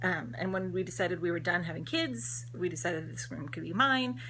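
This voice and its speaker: With an American accent, a woman speaks at a fairly quick pace. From Texas. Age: 30s. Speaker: cross-stitch video blogger. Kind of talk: casual vlog talk to camera. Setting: home craft room. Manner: fast; hesitant fillers.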